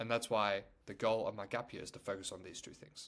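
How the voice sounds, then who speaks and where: A man with a Chinese accent at a fairly quick pace. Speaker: self-improvement youtuber. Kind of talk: casual vlog monologue. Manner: casual with many fillers.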